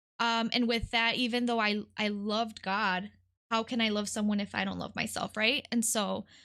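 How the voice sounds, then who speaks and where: Against a quiet background, a woman with a Spanish accent speaks at a moderate pace in a fairly high pitch, her tone bright and sharp and her intonation monotone and flat. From Detroit, Michigan (from age 8; born in California). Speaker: nonprofit worker. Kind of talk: podcast interview, personal testimony. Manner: frequent hesitations (um).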